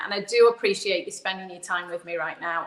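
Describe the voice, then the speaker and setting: A woman speaks with an English accent. Noticeable background noise sits behind her. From England. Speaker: physical therapist. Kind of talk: video call interview. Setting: live video stream.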